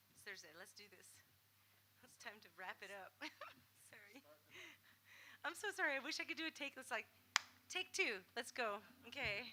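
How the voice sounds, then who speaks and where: With noticeable background noise, a woman at a fairly high pitch uses very wide pitch swings, big swings in loudness, and long, frequent pauses. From Canada. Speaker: singer-songwriter. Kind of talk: stage banter at a concert. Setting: stage with audience. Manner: fast; rambling, self-interrupting.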